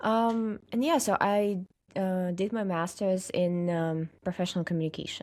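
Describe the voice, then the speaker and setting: A woman with a Russian accent speaks at medium pitch and a moderate pace, with ordinary pitch variation. Her loudness stays very even on a very clean recording with a silent background. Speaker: social media content creator. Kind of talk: casual interview chat. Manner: hesitant, many fillers.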